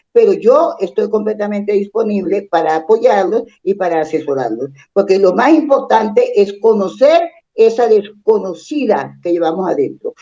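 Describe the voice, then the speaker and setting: A woman's dark, mellow voice at medium pitch, fairly slow in pace, with lively intonation. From Colombia, Bogotá. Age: 70s. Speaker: psychologist and family constellations therapist. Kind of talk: interview conversation. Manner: animated.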